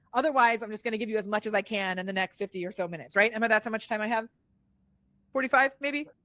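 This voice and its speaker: Animated in tone, a woman speaks at a fairly high pitch with ordinary pitch variation in a dry, close sound with no echo. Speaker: online entrepreneur and social media strategist. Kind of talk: webinar presentation. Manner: fast.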